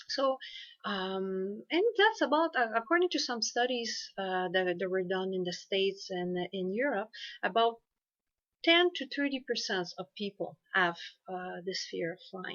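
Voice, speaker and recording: A woman speaks in a French accent with lively intonation. Her pitch is medium and her pace fairly slow. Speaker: hypnotherapist. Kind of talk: informational talk to camera. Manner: halting, many fillers.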